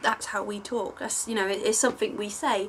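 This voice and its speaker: A woman with an English accent and fairly even intonation, against noticeable background noise. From England. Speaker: online fiction writer. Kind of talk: Q&A video monologue. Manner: hesitant, many filler words.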